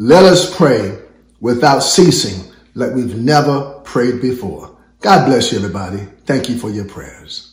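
In a normal speaking voice, a man talks at a fairly slow pace with a medium pitch and lively intonation. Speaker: church prayer director and pastor. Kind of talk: sermon-style thank-you message and closing blessing. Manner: fervent, preacherly, warm and exhortatory.

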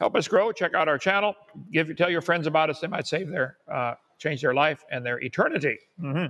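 The voice has a bright, sharp tone. It moves at a fairly quick pace with ordinary pitch variation. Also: man. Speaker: channel host. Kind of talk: livestream announcements and commentary. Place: home room. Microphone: lapel.

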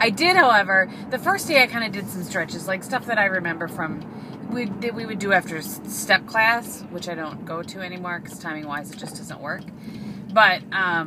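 A woman at a moderate pace, with big swings in loudness and noticeable background noise. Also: ordinary pitch variation. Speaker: vlogger. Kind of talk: casual vlog chat. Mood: chatty, cheerful. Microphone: phone near.

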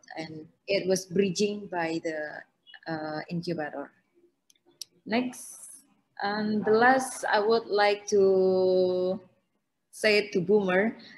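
The speaker talks at a very slow pace with an Indonesian accent, leaving long, frequent pauses. Pitch variation is ordinary. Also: woman. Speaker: co-op startup CEO; panelist. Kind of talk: online panel presentation. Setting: video call. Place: home room. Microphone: video call.

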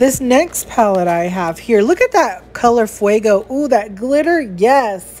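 An animated woman with an American accent, fairly slow in pace, with lively intonation. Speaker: beauty vlogger. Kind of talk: product unboxing. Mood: playful, chatty. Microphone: phone near.

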